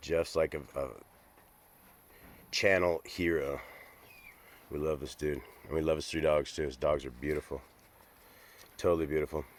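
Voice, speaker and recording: A man talks with vocal fry in a very deep, low voice and fairly even intonation. His pace is moderate, broken by long, frequent pauses. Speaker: dog-owner vlogger. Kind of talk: casual vlog chat. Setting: outdoors. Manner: casual, hesitant fillers.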